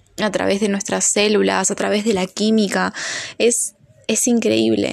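This woman's voice sits at a medium pitch. It rises and falls in an ordinary way. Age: 20s. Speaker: podcaster and biochemistry student. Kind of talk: casual monologue. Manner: halting, many fillers.

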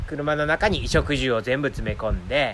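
A man speaks at a fairly slow pace with a Kansai accent and vocal fry. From Japan, Nara Prefecture (rural). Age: 30s. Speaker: podcaster living in a van, video editor. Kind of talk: casual chat. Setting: outdoors in a forest.

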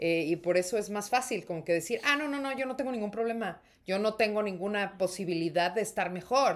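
A woman with a plain, everyday voice talks at a fairly quick pace with hardly any pauses, using a medium pitch and ordinary pitch variation. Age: 30s. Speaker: actress and podcast co-host. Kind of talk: casual chat.

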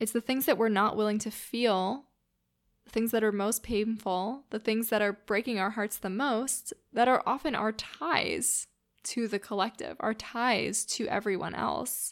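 Fairly slow and fairly even in intonation, a woman speaks in a normal speaking voice, with big swings in loudness. The recording is very clean, with a silent background. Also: fairly high pitch for a woman. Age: 20s. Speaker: podcast host. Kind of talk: solo podcast monologue. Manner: casual, chatty with filler words.

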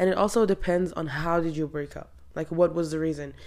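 A woman talks at a fairly quick pace with a very deep, low pitch. Her intonation stays fairly even. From Morocco. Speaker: podcast host. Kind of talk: casual advice monologue. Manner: casual, rambling.

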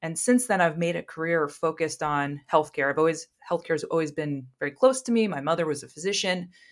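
A woman with an American accent talks very fast with hardly any pauses, a fairly low pitch, and ordinary pitch variation on a very clean recording with a silent background. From US Midwest, Ohio. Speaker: data science leader. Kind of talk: interview.

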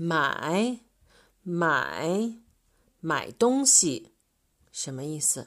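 With a Chinese accent, the speaker moves through very wide pitch swings at a very slow pace, with long, frequent pauses, on a very clean recording with a silent background. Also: woman, fairly low pitch for a woman. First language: Mandarin Chinese. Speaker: Chinese language teacher. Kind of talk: tutorial. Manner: slow, repetitive drilling.

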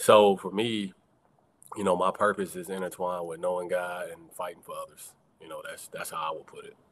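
Talking at a fairly quick pace, a man lets his loudness swing widely. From US South, Atlanta Georgia. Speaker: attorney and activist. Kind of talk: casual chat.

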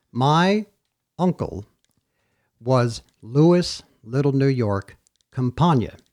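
Speaking with an American accent, a man uses a fairly high voice and lively intonation. His pace is very slow, broken by long, frequent pauses. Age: 60s. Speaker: podcast host. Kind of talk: casual chat.

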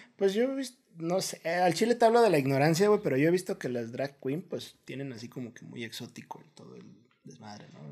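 Talking at a fairly quick pace, a man with a fairly high voice makes very wide pitch swings and big swings in loudness. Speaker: podcast co-host. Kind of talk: casual chat.

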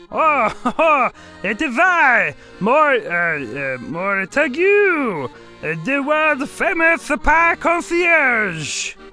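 Spoken in a put-on character voice with a French accent, this high-pitched line moves at a very slow pace, broken by long, frequent pauses over clear background music. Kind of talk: pompous, grandiose.

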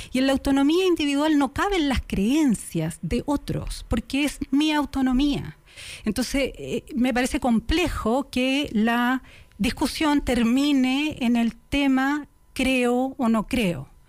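Speaking at a very slow pace, a woman uses a high pitch and ordinary pitch variation. Her loudness is very even, and the recording is very clean with a silent background. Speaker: political commentator. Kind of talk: debate.

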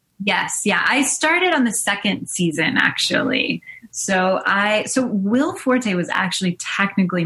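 With noticeable background noise, a woman speaks at a fairly slow pace in a medium pitch, her intonation lively, her loudness very even and her pauses hardly any. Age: 40s. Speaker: TV and film writer-producer. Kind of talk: interview. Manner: animated.

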